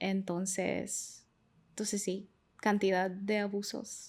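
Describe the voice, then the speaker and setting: In a very clean recording with a silent background, a woman with a Honduran accent speaks at a medium pitch, at a very slow pace, in a monotone, flat intonation. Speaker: migration researcher. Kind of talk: interview. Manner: hesitant, many fillers.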